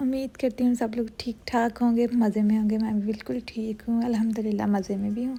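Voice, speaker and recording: On a very clean recording with a silent background, a woman speaks at a moderate pace in a high pitch, her tone dark and mellow and her intonation fairly even. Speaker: vlogger. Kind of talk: casual vlog chat and storytelling.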